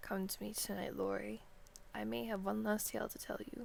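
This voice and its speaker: Clear background noise accompanies a woman doing a wheezy put-on character voice at a fairly quick pace. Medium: read story. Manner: stubborn, defiant.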